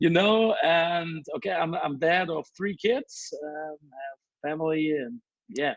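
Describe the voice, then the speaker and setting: A man's high voice with a German accent, fairly slow, with ordinary pitch variation and big swings in loudness. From Germany. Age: 30s. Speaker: DJ. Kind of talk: interview. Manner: halting.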